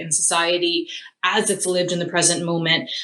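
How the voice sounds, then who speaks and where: With noticeable background noise behind her, a woman with an American accent speaks at a fairly low pitch. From US, Philadelphia. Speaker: theatre studies lecturer. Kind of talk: interview.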